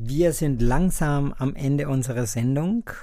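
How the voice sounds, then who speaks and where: In a Spanish accent, a man with a fairly high pitch and a dark, mellow tone speaks at a very slow pace. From Colombia. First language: Spanish (speaking German). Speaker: podcast host. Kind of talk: interview.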